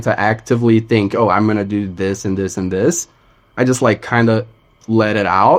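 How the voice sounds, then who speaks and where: Here a man is speaking. He has a Portuguese accent. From Brazil. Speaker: singer-songwriter. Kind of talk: casual chat.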